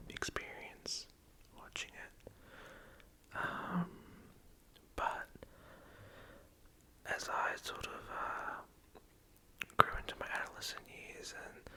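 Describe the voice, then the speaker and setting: Over noticeable background noise, a man whispers at a very slow pace with long, frequent pauses. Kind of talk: ASMR movie discussion. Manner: whispered; soft-spoken, hesitant.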